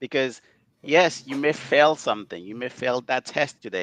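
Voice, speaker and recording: This man has a non-native accent and a medium pitch with ordinary pitch variation. The recording is dry and close with no echo, and the background is quiet. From outside North America. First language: not English. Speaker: data management executive. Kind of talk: interview.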